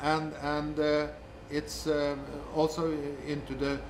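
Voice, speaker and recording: Noticeable background noise and audible room echo surround this man. His pitch is fairly high, and his intonation is monotone and flat. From Norway. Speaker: government official on state ownership. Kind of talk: interview. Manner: halting, many repetitions.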